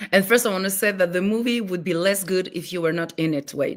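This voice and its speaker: A woman with a Greek accent, medium in pitch, with ordinary pitch variation at a moderate pace. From France, raised in a Greek family. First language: French. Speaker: film director and writer. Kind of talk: interview. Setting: live stream. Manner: halting, many fillers.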